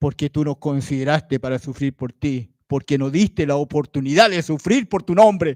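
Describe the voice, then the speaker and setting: Recorded dry and close with no echo, a man speaks at a moderate pace with a fairly high pitch and ordinary pitch variation. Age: 60s. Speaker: lay preacher. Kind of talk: sermon. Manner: animated.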